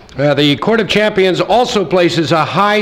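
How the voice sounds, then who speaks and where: The man's voice sits high in pitch and shows ordinary pitch variation. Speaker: event host. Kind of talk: formal ceremony welcome speech. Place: hall. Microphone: podium.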